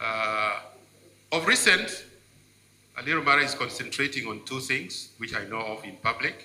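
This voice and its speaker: With a Ugandan accent, a man speaks at a moderate pace and medium pitch, with ordinary pitch variation, long and frequent pauses, big swings in loudness, and noticeable background noise. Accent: Ugandan (Lango) English. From Uganda, Lango region. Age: 70s. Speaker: politician and cultural leader speaking at event. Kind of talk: formal speech at book launch.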